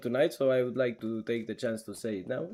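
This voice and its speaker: A man speaks with a Romanian accent in a dark, mellow tone. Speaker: esports caster. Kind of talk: live commentary; casual chat with stream chat. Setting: live stream.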